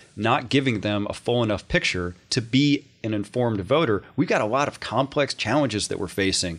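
A man speaks in a plain, everyday voice at medium pitch. His pace is moderate and his pitch varies in an ordinary way. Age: 30s. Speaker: state politician. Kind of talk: casual interview. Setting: studio.

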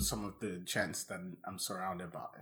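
Pitched fairly low, a man speaks at a moderate pace. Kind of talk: casual chat over wine.

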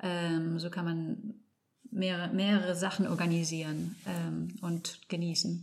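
Somewhat breathy and fairly low in pitch, a woman speaks in a flat monotone with audible room echo. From Spain, Barcelona (German parents). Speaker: landscape architect. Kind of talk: interview. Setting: studio. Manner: halting, searching for words.

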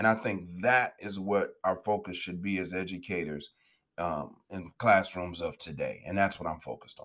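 Recorded very cleanly against a silent background, a man with a Chicago accent speaks in a very deep, low voice with fairly even intonation. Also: moderate pace. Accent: Chicago American English. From Chicago, US Midwest. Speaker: educator and education entrepreneur. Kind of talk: interview.

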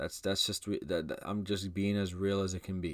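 A man speaks in a normal speaking voice at a fairly low pitch. His pace is moderate and his intonation fairly even, on a very clean recording with a silent background. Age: 20s. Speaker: podcast host. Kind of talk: motivational talk. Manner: casual, filler-heavy.

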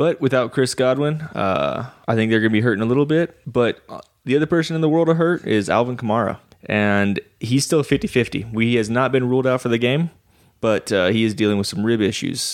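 At a fairly quick pace, a man with an American accent uses a normal speaking voice at medium pitch with ordinary pitch variation. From Texas. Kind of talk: casual banter about fantasy football.

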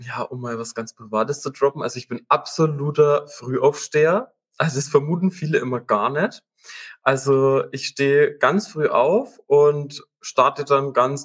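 A man's fairly high, somewhat breathy voice at a fairly slow pace, with ordinary pitch variation and a dry, close sound with no echo. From Upper Franconia, Germany (Münchberg). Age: 20s. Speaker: business program manager. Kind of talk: interview.

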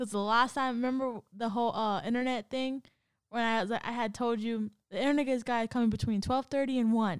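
With an unremarkable speaking voice, a woman talks at a fairly quick pace and fairly high pitch. The recording is very clean, with a silent background. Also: fairly even intonation. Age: 20s. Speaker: podcast co-host. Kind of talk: casual chat.

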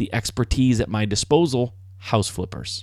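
A man with an American accent and an unremarkable speaking voice, at a moderate pace with ordinary pitch variation, in a very clean recording with a silent background. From Michigan, US. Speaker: podcast host, house flipper. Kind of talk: solo podcast monologue. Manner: conversational, with fillers and restarts.

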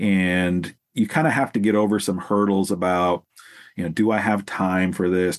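In an unremarkable speaking voice, a man with an American accent talks at a moderate pace. His pitch is fairly low and his intonation fairly even. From US Pacific Northwest (Salem, Oregon). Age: 40s. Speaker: counseling professor and former youth corrections worker. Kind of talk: interview conversation.

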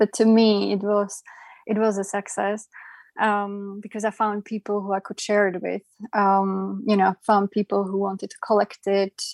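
In a very clean recording with a silent background and dry, close sound with no echo, a woman speaks at medium pitch and a moderate pace with monotone, flat intonation. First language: not English. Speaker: artist and photographer. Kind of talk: interview podcast.

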